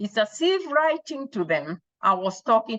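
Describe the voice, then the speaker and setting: With a Kenyan accent, a woman speaks at a fairly slow pace with lively intonation. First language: Kikuyu. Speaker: author. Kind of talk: personal storytelling about her book. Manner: halting, with self-corrections.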